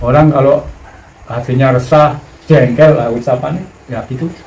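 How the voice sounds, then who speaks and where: Room echo is audible, along with noticeable background noise. A man speaks at a fairly slow pace. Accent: Javanese. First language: Javanese (speaking Indonesian). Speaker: spiritual teacher. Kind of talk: spiritual teaching talk.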